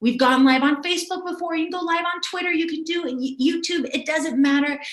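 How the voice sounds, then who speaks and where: Amid audible room echo, a woman talks at a fairly quick pace in an energetic tone with extremely high pitch. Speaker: video marketing coach. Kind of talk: live webinar teaching. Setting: livestream. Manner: fast.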